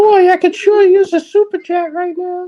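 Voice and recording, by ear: A squeaky put-on character voice at an extremely high pitch delivers lines at a moderate pace with monotone, flat intonation.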